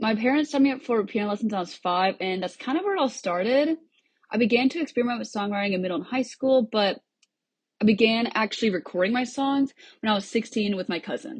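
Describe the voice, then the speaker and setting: A woman's fairly high, somewhat breathy voice with an American accent, lively intonation and a very fast pace. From US Midwest, Cedar Rapids, Iowa. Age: 20s. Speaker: singer-songwriter and student. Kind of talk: podcast interview.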